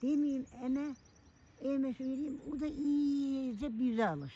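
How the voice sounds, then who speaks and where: Very slow, high-pitched speech from a woman with a dark, mellow tone and long, frequent pauses. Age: 80s+. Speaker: elderly villager. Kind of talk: casual chat. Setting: outdoors.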